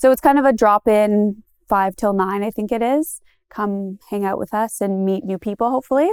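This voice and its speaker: A woman with an Ontario accent speaks at a moderate pace in a fairly high pitch, with ordinary pitch variation and a dry, close sound with no echo. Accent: Canadian (Ontario). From Goderich, Ontario, Canada. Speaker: local tour business owner and community group organizer. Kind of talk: casual interview.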